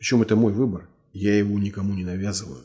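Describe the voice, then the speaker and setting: A man talks at a moderate pace in a fairly low, somewhat breathy voice with a dark, mellow tone. His pitch varies in an ordinary way, and the background is quiet. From Russia. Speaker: writer and martial arts master; interview guest. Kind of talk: interview. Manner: blunt. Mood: earnest, argumentative. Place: office. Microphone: lapel.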